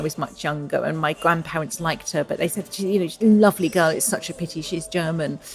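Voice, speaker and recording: Over music in the background, the speaker talks in an English accent with fairly even intonation. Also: woman. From England. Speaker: novelist. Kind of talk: interview. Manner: thoughtful, hesitant.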